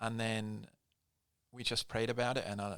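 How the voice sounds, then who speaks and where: With a Scottish accent, a man speaks at a fairly low pitch in a bright, sharp tone. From Scotland. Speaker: pastor. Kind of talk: casual chat. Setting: studio.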